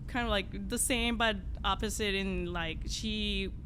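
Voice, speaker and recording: A woman speaks at a very slow pace. Audible room echo follows her words. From Colombia. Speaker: opera singer. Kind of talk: casual chat.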